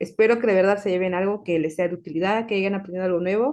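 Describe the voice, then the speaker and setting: Talking at a very fast pace, a woman keeps her medium-pitched voice fairly even in intonation. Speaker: pharmacology researcher giving a talk. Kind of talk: online talk, closing remarks. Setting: video call.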